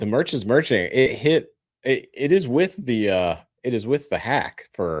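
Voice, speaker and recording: On a very clean recording with a silent background, a man with an American accent speaks at a fairly slow pace and medium pitch. His pitch swings very widely, and there is vocal fry in his voice. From Tennessee, outside Nashville. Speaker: whiskey channel co-host. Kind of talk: casual chat. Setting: live stream.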